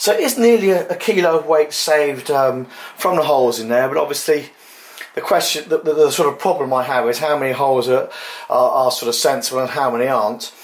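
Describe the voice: A man talks at a fairly quick pace, his pitch medium. His pitch varies in an ordinary way.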